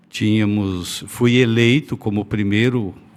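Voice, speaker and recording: A man with an ordinary speaking voice and a fairly low pitch talks at a fairly slow pace. His intonation stays fairly even. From Brazil, Paraná (northwest). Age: 60s. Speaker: politician. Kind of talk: interview.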